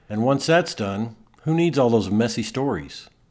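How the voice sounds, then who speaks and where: With an American accent and lively intonation, a man talks in a normal speaking voice. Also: very clean recording, silent background. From Texas (Amarillo). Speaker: podcast host, author. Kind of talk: scripted narration of a personal essay.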